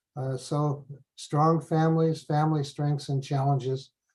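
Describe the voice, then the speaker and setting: In an American accent, a somewhat breathy voice with a dark, mellow tone moves at a fairly slow pace in a monotone, flat intonation. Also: man. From US. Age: 70s. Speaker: professor. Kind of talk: lecture. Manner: halting.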